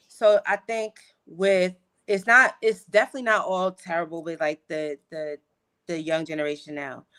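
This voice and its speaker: With an American accent, a woman with a fairly low, bright, sharp voice talks at a moderate pace with ordinary pitch variation and big swings in loudness, recorded dry and close with no echo. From New York. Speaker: fifth grade teacher. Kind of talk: casual chat. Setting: livestream.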